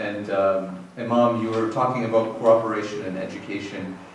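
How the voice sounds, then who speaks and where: Amid noticeable background noise and audible room echo, a man with fairly low pitch speaks at a moderate pace in a monotone, flat intonation. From Lebanon. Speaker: politician. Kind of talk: formal speech. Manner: halting.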